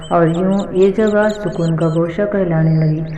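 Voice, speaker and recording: Noticeable background noise accompanies a woman speaking at a medium pitch with fairly even intonation. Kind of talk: read story.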